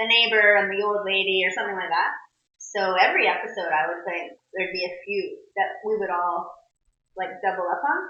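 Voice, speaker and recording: Amid audible room echo, a woman with a medium-pitched voice talks at a fairly quick pace with fairly even intonation. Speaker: voice actress. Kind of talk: interview. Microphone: pocket recorder, poor audio.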